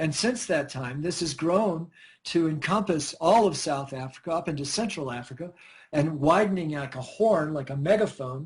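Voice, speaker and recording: A man's normal speaking voice, fairly high-pitched, at a moderate pace with ordinary pitch variation. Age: 60s. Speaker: scientist and researcher. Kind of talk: radio interview.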